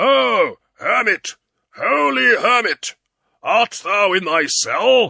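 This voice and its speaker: A man's put-on character voice, raspy, raised and projected, at a very slow pace. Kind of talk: mock-heroic archaic speech. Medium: read story. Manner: grave, loud.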